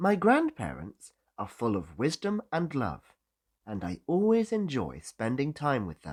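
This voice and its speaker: A man with a British accent at a fairly slow pace, in a dry, close sound with no echo and a very clean, silent recording. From Britain. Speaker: English teacher. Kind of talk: English-learning listening lesson.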